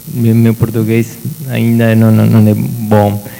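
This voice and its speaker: Very slowly and at a medium pitch, a man talks over noticeable background noise. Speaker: professor. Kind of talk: opening speech at a seminar.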